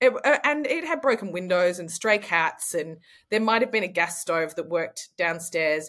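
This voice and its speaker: A woman's medium-pitched voice with an Australian accent, lively intonation, and a moderate pace, on a very clean recording with a silent background. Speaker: actor and artist. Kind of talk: interview conversation.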